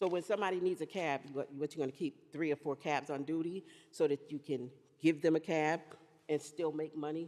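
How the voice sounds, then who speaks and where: Speaking at a fairly quick pace, a woman has a very deep, low pitch and a dark, mellow tone. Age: 60s. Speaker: resident speaking at public hearing. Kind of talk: public comment at zoning meeting. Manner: animated.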